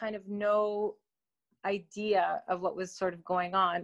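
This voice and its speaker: A woman speaks with a Canadian accent in a monotone, flat intonation. The sound is dry and close with no echo. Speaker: opera singer. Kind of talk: interview chat. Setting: remote interview.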